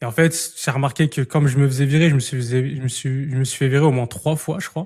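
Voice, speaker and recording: Fairly high for a man, his voice is somewhat breathy. He talks at a very fast pace with fairly even intonation. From Île-de-France, France. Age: 20s. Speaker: podcast host and entrepreneur. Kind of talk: casual interview chat. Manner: casual, many hesitations.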